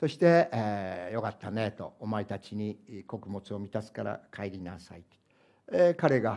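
A man's fairly low, dark, mellow voice, with lively intonation, big swings in loudness and a fairly slow pace against a quiet background. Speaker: pastor. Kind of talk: sermon. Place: church.

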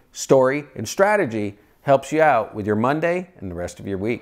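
A man talks at a fairly quick pace with very wide pitch swings against a quiet background. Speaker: motivational host. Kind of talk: motivational talk to camera. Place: home room.

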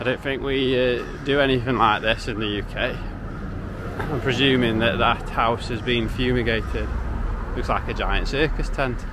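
Noticeable background noise sits under a dry sound with no echo as a man talks at a moderate pace with monotone, flat intonation and long, frequent pauses. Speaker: travel vlogger. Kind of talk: casual vlog chat. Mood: relaxed, amused. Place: street. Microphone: phone near.

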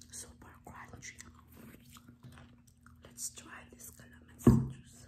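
Whispering very slowly, a woman leaves long, frequent pauses between words. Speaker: ASMR eating video creator. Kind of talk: casual talk to camera. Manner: whispered, soft-spoken. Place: home room. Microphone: phone near.

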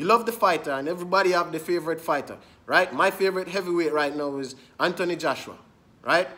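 A man's high-pitched voice, very fast, bright and sharp in tone, with ordinary pitch variation. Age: young. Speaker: boxing commentator. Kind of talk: angry rant. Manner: indignant, repetitive, emphatic; fast, insistent, addressing viewers directly. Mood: annoyed, ranting. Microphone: phone near.

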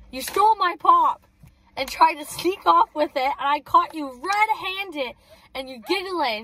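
A woman speaks in a raised, projecting voice over faint background noise. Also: dry sound with no echo. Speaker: vlogger. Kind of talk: casual vlog chat. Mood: playful, laughing. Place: car. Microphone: phone near.

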